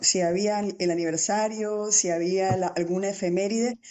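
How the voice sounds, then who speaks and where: A woman speaks at a moderate pace in an unremarkable speaking voice, with ordinary pitch variation. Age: 60s. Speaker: teacher. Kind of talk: interview.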